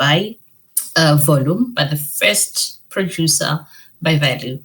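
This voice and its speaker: The woman has a very deep, low pitch and sounds somewhat breathy. She speaks at a fairly slow pace. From Botswana. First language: Setswana. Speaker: financial education founder and meteorologist. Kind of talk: podcast interview. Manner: hesitant, many fillers and repetitions.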